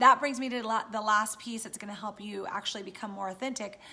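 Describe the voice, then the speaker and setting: A woman speaks at a fairly quick pace with ordinary pitch variation. Noticeable background noise can be heard behind her. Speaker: business coach and vlogger. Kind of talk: live stream talk to viewers. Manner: fast.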